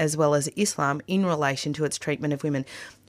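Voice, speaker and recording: In a very clean recording with a silent background, a woman with a very deep, low pitch speaks with fairly even intonation. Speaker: radio host. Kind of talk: radio interview with scripted intro. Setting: studio.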